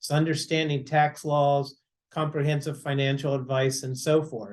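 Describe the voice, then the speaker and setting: Flat and monotone, a man with a fairly high pitch speaks in a somewhat breathy voice. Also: moderate pace. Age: 60s. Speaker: financial advisor. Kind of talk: casual chat.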